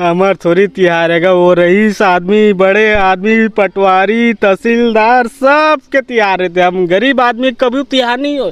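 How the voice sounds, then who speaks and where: Very slow and very even in loudness, a man's high-pitched speech shows ordinary pitch variation in a dry sound with no echo. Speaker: street interviewer or actor in a skit. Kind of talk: acted street skit dialogue. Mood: complaining, aggrieved. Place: garden. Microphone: handheld.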